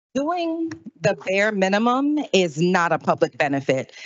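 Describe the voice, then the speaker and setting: A woman talks with an American accent. Her pitch swings very widely. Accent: Southern US, comes out when heated. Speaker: public commenter, council office staffer. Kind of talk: public comment speech. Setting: city council meeting.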